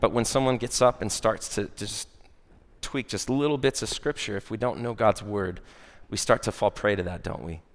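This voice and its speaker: In a very clean recording with a silent background, a man with an American accent speaks at a medium pitch and moderate pace, using ordinary pitch variation. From Arizona, Phoenix. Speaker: church worship director preaching. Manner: casual, chatty delivery full of filler uhs and tag questions like right?; earnest and animated, with mock-preacher voice for a sarcastic example.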